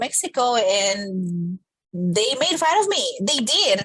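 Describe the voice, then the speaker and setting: The speaker is a woman with a Spanish accent. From Colombia. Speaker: podcast co-host. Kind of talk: casual chat.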